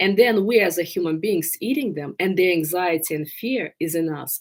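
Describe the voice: A woman with a fairly low pitch and ordinary pitch variation speaks at a moderate pace, her tone slightly mellow with a slightly husky edge.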